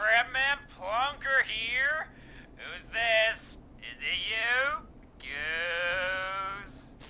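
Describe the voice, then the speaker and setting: A female-sounding, put-on character voice comes through at a fairly high pitch with lively intonation and a very slow pace. Background noise is clearly audible. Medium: video game. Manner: laid-back, drawling.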